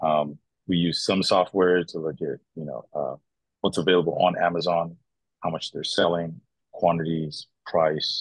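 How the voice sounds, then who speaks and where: A man's very deep, low voice at a fairly slow pace, dry with no echo, against a quiet background. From northern Nigeria. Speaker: importer and entrepreneur, former pro footballer. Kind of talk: interview. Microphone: video call.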